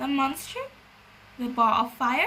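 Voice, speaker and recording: A woman puts on a character voice with a high pitch. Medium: read story.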